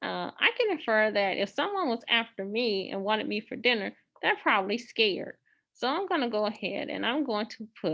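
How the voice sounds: Over a quiet background comes a natural reading voice with lively intonation.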